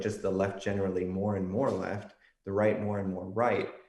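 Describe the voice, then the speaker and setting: A man with an American accent, fairly low in pitch, at a moderate pace, with monotone, flat intonation and audible room echo. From Texas, San Antonio. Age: 20s. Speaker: political science researcher. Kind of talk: podcast interview.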